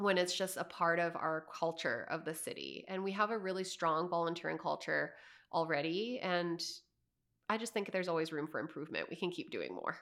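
A woman's fairly low voice with vocal fry and a Canadian accent, at a fairly quick pace with ordinary pitch variation, on a very clean recording with a silent background. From Canada, Calgary. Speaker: community organizer. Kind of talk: interview.

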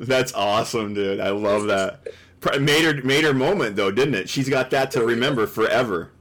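In an American accent, a plain, everyday voice speaks with very even loudness and ordinary pitch variation. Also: man, medium pitch for a man, moderate pace. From Chicago area, Illinois. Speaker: podcast host. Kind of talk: casual chat.

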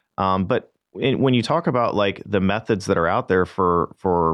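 With an American accent, a man with an unremarkable speaking voice talks at a moderate pace and fairly low pitch, using lively intonation. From St. Louis area, Missouri. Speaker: marketing manager, former pit crew member. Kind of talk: casual interview. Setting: radio studio.

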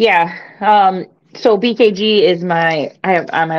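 A woman talks with a strong Michigan accent. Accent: Michigan accent, fairly strong. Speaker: sports commentator. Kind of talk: casual chat. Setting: live stream with chat.

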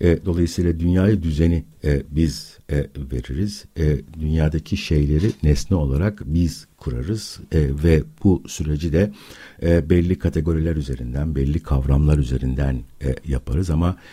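A man's very deep, low, somewhat breathy voice with a dark, mellow tone and ordinary pitch variation. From Istanbul, Turkey. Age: 60s. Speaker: philosophy academic. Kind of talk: radio interview. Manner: hesitant, many filler sounds.

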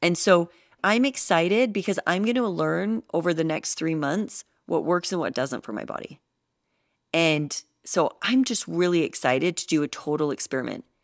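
Animated and lively in intonation, a woman talks at a moderate pace with a fairly low pitch. The recording is very clean, with a silent background and a dry, close sound with no echo. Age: 30s. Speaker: fitness podcast host and coach. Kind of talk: solo podcast monologue.

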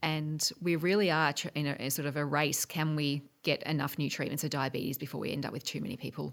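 A woman with a very deep, low pitch, very fast with hardly any pauses and fairly even intonation, on a very clean recording with a silent background. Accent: Australian. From Australia, Geelong. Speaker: medical researcher. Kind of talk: interview.

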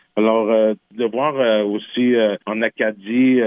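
With a Quebec accent, a man speaks at a medium pitch with fairly even intonation. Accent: Québécois French. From Quebec, Innu nation. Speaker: singer-songwriter. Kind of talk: radio interview. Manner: halting, frequent repetitions.

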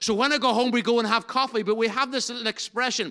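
Raised and projected, a man's voice with a Northern Irish accent rings out at an extremely high pitch with a bright, sharp tone. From Northern Ireland. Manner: loud, animated.

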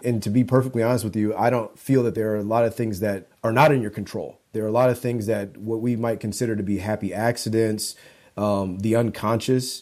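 A man with a plain, everyday voice talks at a fairly quick pace and medium pitch, with fairly even intonation. The recording is very clean, with a silent background. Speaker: visual artist and spoken word poet. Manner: thoughtful, articulate.

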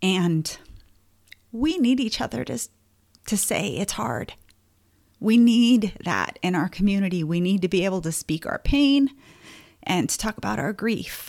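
A woman's medium-pitched voice with very wide pitch swings and long, frequent pauses, in a very clean recording with a silent background. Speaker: podcast host. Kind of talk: supportive podcast talk. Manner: conversational, with fillers; emotional, gets choked up.

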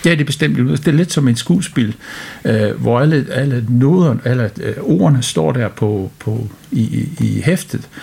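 Over noticeable background noise, a man of medium pitch speaks at a very slow pace with lively intonation and very even loudness. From United Kingdom. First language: English (speaking Danish). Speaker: orchestra conductor. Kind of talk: interview. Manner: hesitant, many fillers.

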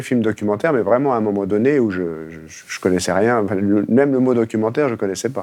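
Medium in pitch with ordinary pitch variation, a man's voice moves at a fairly quick pace. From Haute-Savoie, France. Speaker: documentary filmmaker. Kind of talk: interview. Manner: halting, with repetitions.

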